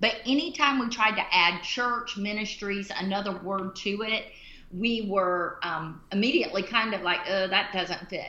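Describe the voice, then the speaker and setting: Audible room echo surrounds a woman with an American accent speaking at a medium pitch. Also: ordinary pitch variation, moderate pace. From US South, Central Florida. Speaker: missionary and former pastor. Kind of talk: casual chat.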